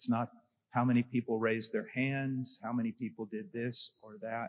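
A man is talking at a moderate pace. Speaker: conference panelist. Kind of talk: panel discussion answer. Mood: earnest, anecdotal. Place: hall. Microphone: handheld.

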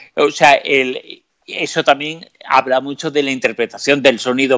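This is a man's voice. His tone is bright and sharp. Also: quiet background. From Spain, Aragon (Zaragoza); Aragon, Spain. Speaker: mystery researcher and radio journalist; interview guest. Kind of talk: interview. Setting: live stream. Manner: hesitant, many fillers. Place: home room. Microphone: earbuds.

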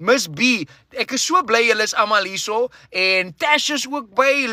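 A man with an extremely high pitch projects a raised voice in an animated, bright and sharp tone, the sound dry with no echo against a quiet background. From South Africa. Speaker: live stream host. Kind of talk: casual livestream chat. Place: car. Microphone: phone near.

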